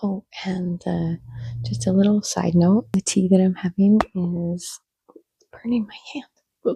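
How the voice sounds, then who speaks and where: A woman whispering at a fairly slow pace, somewhat breathy, with big swings in loudness, long, frequent pauses, and a dry, close sound with no echo. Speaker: plant vlogger. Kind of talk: casual vlog. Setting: home plant room. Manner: whispering to avoid waking someone.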